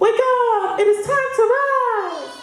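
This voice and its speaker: A squeaky, put-on character voice at an extremely high pitch, with slight echo. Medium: stage play.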